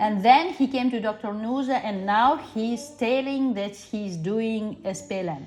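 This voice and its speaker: Amid noticeable background noise, a woman with a non-native accent speaks at a fairly high pitch with lively intonation and hardly any pauses. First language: not English. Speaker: parent of a patient. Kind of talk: medical consultation. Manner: halting.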